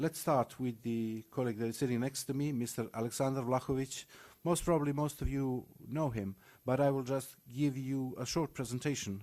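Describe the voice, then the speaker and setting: Recorded very cleanly against a silent background, a man with a Macedonian accent speaks at medium pitch with a dark, mellow tone and fairly even intonation. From North Macedonia. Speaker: panel moderator. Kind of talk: conference panel introduction. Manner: formal.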